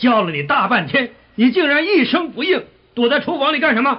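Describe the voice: Putting on a character voice, a man talks fairly quickly at an extremely high pitch, with big pitch swings and a slightly husky edge.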